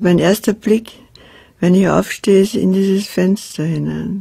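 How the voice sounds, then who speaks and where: Here a woman speaks with a dark, mellow tone. Her voice is somewhat breathy. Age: 80s+. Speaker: poet. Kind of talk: documentary interview talk.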